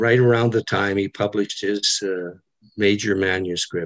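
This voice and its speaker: A man's fairly low pitch comes through with a quiet background behind it. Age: 80s+. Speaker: retired ophthalmologist, audience member; audience member. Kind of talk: audience comment at virtual symposium. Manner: halting, many fillers. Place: home room. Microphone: webcam.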